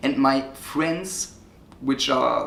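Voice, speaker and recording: A man with a non-native accent talks at a very slow pace over noticeable background noise. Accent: non-native English speaker. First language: German. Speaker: online marketing coach. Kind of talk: casual interview chat. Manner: halting.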